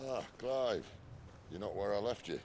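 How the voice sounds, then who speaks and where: Over clear background noise, a man does a gruff, put-on character voice at a medium pitch and a moderate pace. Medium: video game. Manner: wry, gruff, plain-spoken.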